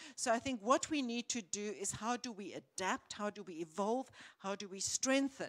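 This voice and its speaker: Recorded dry and close with no echo, a woman with a fairly high pitch speaks at a moderate pace, showing ordinary pitch variation and big swings in loudness. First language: not English. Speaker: panelist. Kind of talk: panel discussion. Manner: halting.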